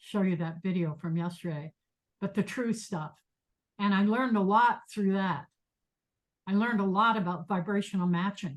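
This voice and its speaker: A somewhat breathy voice speaks at a moderate pace with fairly even intonation. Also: woman. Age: 70s. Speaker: meditation teacher and professor. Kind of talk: lecture. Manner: halting.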